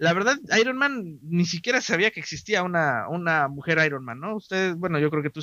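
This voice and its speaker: A man talks at a fairly quick pace in an ordinary speaking voice. His pitch is fairly high and his intonation is lively. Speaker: podcast host. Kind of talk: casual chat. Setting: live stream.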